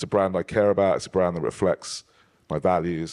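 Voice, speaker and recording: Someone with a British accent talks at a very fast pace. The recording is very clean and silent behind the voice, with a dry, close sound and no echo. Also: man. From United Kingdom. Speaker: panel moderator. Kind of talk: panel discussion. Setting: stage with audience.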